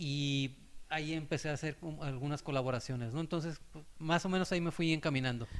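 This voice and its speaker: A normal speaking voice from a man with fairly high pitch and ordinary pitch variation, in a very clean recording with a silent background. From Mexico, Acapulco, Guerrero. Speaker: sports journalist. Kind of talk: casual chat.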